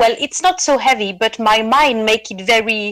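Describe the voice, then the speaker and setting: A woman with a French accent and lively intonation. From France. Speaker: caller. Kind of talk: Q&A question. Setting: online call.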